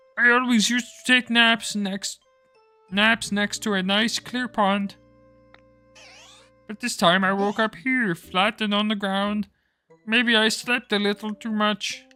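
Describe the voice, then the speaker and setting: This is a put-on character voice, nasal and fairly high in pitch, delivered at a fairly slow pace with long, frequent pauses. Music plays in the background. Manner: goofy.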